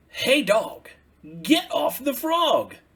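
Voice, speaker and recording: A high-pitched put-on character voice rings out. The voice is raised and projected. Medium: read story. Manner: bossy, self-assured.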